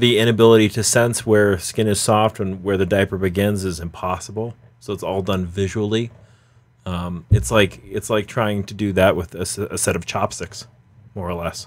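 A man's fairly low voice at a moderate pace with fairly even intonation. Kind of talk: interview answer. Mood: earnest, explanatory. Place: stage. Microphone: headset.

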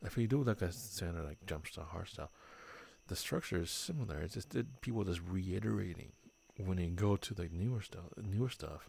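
A somewhat breathy man with a very deep, low pitch, at a fairly quick pace with ordinary pitch variation. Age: 40s. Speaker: streamer hosting a drinking game in VR. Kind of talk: casual chat. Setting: VR game voice chat.

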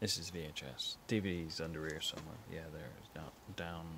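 A man with a low pitch talks at a fairly quick pace. His tone is bright and sharp, with vocal fry.

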